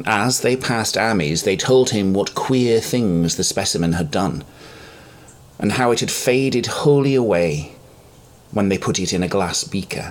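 The speech moves at a moderate pace with lively intonation. Noticeable background noise runs underneath. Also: man, fairly low pitch for a man. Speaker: podcast host and narrator. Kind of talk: audiobook-style reading of a Lovecraft horror story.

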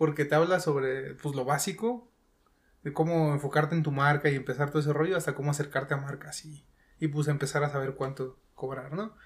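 Somewhat breathy, in a Mexican accent, the speaker moves at a fairly quick pace with fairly even intonation. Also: man, fairly high pitch for a man. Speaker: gamer and content creator. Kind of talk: casual chat.

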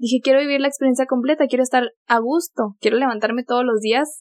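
A woman speaks at a high pitch. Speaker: former au pair. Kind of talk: casual chat.

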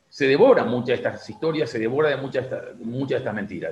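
A man with a fairly high voice speaks with vocal fry. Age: 60s. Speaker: journalist and writer. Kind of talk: radio interview. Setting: phone call. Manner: halting, many fillers.

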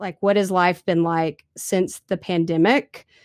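A woman's medium-pitched voice with fairly even intonation and a fairly slow pace. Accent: American. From US small town. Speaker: podcast host. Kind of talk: casual interview. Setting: remote call.

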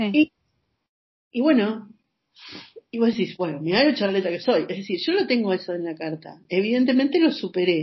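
A woman talks at a medium pitch with very wide pitch swings and a somewhat breathy sound. Long, frequent pauses break up her speech. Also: moderate pace. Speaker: psychological counselor. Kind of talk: interview. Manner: talkative.

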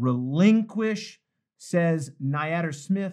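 An animated tone with ordinary pitch variation comes through against a quiet background. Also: man. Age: 50s. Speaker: pastor. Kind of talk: bible study livestream. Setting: live video stream.

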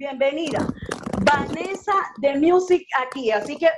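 Crowd noise fills the background. Over it, a woman talks with lively intonation. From Venezuela. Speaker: radio host. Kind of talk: radio interview. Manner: warm, enthusiastic.

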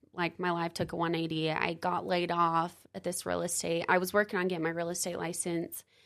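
Her delivery monotone and flat, a woman with a fairly low pitch speaks at a fairly quick pace with hardly any pauses. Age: 30s. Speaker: door-to-door alarm sales rep. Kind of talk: casual interview.

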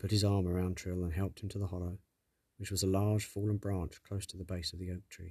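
This is reading aloud in a natural voice. The background is quiet.

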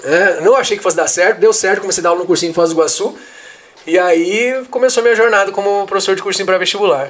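At a very fast pace, a man with a high pitch speaks with ordinary pitch variation over noticeable background noise. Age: 30s. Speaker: history teacher. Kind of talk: casual interview. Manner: halting, repeats words.

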